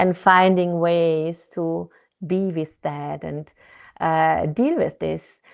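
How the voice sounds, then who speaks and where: Against a quiet background, a woman speaks at a very slow pace with a fairly low pitch and fairly even intonation. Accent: non-native. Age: 50s. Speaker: therapist and author. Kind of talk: interview.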